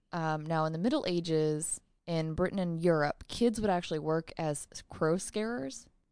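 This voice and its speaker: A woman speaks in an ordinary speaking voice with a fairly low pitch, ordinary pitch variation, and an American accent. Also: moderate pace. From US suburb. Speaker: podcast co-host. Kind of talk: reading aloud; casual chat.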